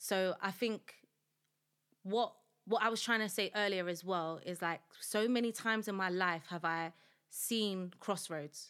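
A woman with a South London accent speaks at a medium pitch with fairly even intonation, on a very clean recording with a silent background. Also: fairly slow pace. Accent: South London, Multicultural London English. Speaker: founder of a support movement, former prisoner. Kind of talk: podcast interview, personal life story. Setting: studio.

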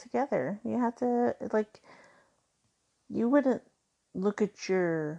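A dark, mellow tone at a fairly slow pace with lively intonation, over a quiet background. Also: woman. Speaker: podcast host. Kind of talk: solo podcast monologue. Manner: higher-pitched and giggly than usual.

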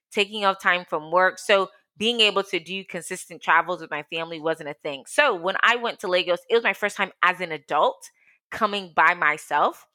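Bright, sharp and animated, the voice carries an American accent with ordinary pitch variation on a very clean recording with a silent background. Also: woman, medium pitch for a woman, moderate pace. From US, outside Washington DC (Ghanaian parents). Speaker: entrepreneur, co-founder of women's platform. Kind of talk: casual interview.

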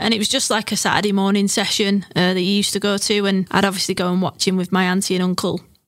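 A woman at medium pitch talks at a very fast pace with hardly any pauses, very even loudness and monotone, flat intonation. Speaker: football coach developer. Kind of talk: interview. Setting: studio.

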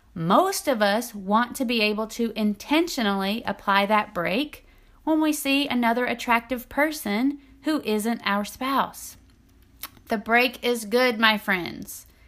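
Lively intonation and a fairly slow pace mark a normal speaking voice. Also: woman, fairly high pitch for a woman. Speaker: intimacy coach and podcast host. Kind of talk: solo podcast talk.

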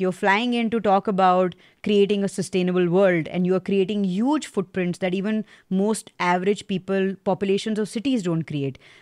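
A woman with a normal speaking voice talks at a moderate pace, her medium pitch showing ordinary pitch variation over a quiet background. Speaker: podcast interviewer. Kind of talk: casual interview chat.

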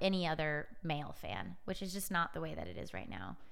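In an American accent, a woman talks at a fairly quick pace with audible room echo. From US Pacific Northwest, Edmonds near Seattle. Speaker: sports media startup CEO. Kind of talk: casual interview. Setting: studio.

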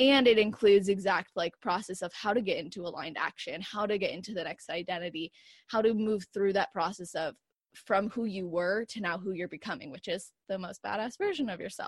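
In a very clean recording with a silent background and a dry, close sound with no echo, a woman with a plain, everyday voice talks at a fairly quick pace, her medium pitch showing ordinary variation. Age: 20s. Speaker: fitness coach and author. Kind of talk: interview. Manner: casual, filler-heavy.

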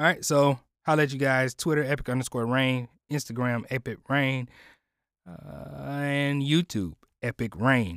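Recorded very cleanly with a silent background and a dry, close sound with no echo, a man speaks at a fairly slow pace in a medium pitch with ordinary pitch variation. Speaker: podcast host and audio producer. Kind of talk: casual solo chat. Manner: halting with many fillers.

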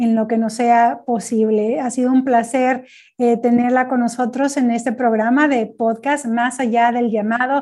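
Against a very clean, silent background, a woman speaks at a fairly slow pace in a high pitch, with a dark, mellow tone and monotone, flat intonation. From Mexico. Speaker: podcast host, church services company staff. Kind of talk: interview; promotional closing. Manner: halting, repeats words.

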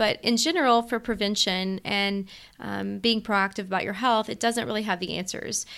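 A woman at medium pitch and moderate pace, a normal speaking voice with ordinary pitch variation, on a very clean recording with a silent background. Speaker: medical doctor.

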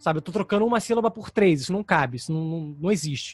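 The sound is dry and close, with no echo. The intonation is lively. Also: man. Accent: Rio de Janeiro. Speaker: actor and voice dubber. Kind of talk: interview.

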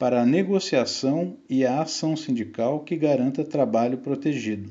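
This man has an unremarkable speaking voice. His pitch is fairly high, with ordinary pitch variation. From Brazil, São Paulo. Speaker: economist and union adviser. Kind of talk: scripted narration. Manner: formal.

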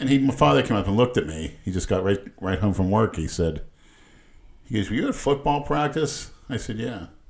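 Fairly low-pitched and somewhat breathy, a man speaks at a fairly quick pace. His pitch swings very widely. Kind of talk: casual banter.

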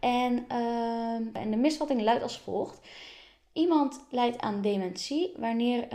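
A woman speaks with a high pitch and a dark, mellow tone. Her pitch variation is ordinary. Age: 20s. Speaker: podcast host. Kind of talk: interview.

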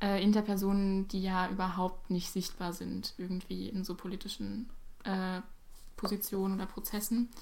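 Her delivery is monotone and flat, with a medium pitch and a moderate pace from this woman. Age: 18. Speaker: podcast guest. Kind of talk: casual chat.

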